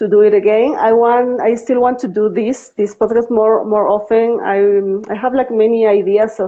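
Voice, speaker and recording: A woman with a Spanish accent speaks at a fairly high pitch. Her intonation is monotone and flat, with hardly any pauses. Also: moderate pace. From Bolivia. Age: 40s. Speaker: adoptee and podcaster. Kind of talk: live interview. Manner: halting, many fillers and repeats.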